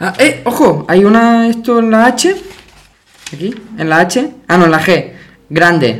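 A high-pitched male voice with very wide pitch swings and long, frequent pauses, over noticeable background noise. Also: fairly slow pace. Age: 20s. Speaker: podcast host. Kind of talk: casual chat.

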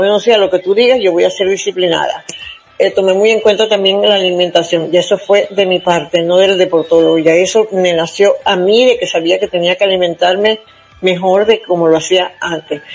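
Fairly quick speech with fairly even intonation and very even loudness, over noticeable background noise. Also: woman, medium pitch for a woman. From Venezuela, Zulia state (Maracaibo). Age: 70s. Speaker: senior marathon runner. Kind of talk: interview.

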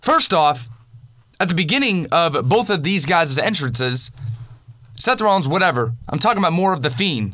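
A man's high voice, angry, bright and sharp in tone, with very wide pitch swings and long, frequent pauses. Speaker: wrestling commentator. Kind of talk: angry rant. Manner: angry, loud, cursing.

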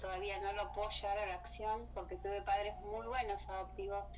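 With a Rioplatense accent, a woman speaks at a moderate pace amid noticeable background noise and audible room echo. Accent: Argentine Rioplatense Spanish. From Argentina. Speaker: writer and cultural promoter. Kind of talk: casual interview. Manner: halting, with many fillers.

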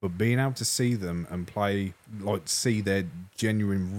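Slowish and fairly low in pitch, a man with an English accent speaks with fairly even intonation on a very clean recording with a silent background. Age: 20s. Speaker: music podcast co-host. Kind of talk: casual chat. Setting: studio.

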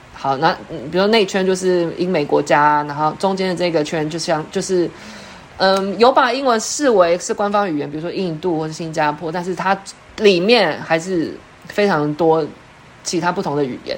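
A woman talks at a moderate pace in a fairly low pitch with ordinary variation. The room echo is audible. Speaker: education researcher and English teacher. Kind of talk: online lecture.

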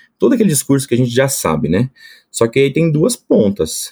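A man's dark, mellow voice with lively intonation, dry and close with no echo, on a very clean recording with a silent background. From Brazil, Espírito Santo. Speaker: agronomist, product manager. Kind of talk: casual interview.

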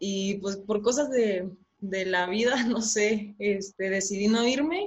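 Her voice is an unremarkable speaking voice, a woman's at medium pitch with fairly even intonation. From Chihuahua, northern Mexico. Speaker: professional women's footballer. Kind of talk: casual interview.

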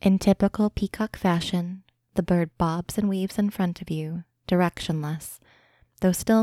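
The speaker is a woman with an unremarkable speaking voice and a fairly low pitch. She keeps a moderate pace and fairly even intonation. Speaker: guided imagery narrator. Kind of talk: guided meditation. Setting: podcast recording.

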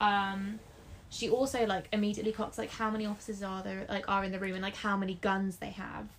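The speaker talks at a fairly quick pace in an English accent. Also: woman. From England. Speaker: book podcast co-host. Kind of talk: casual chat.

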